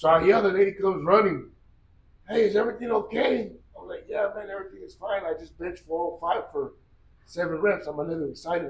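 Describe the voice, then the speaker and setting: Audible room echo around a man going at a fairly quick pace. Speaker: gym owner and strength athlete. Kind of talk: interview storytelling. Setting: gym. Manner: loud; animated.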